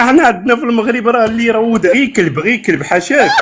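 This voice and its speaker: An animated man talks at a fairly quick pace in an extremely high voice with ordinary pitch variation. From Morocco. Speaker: caller. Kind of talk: casual chat.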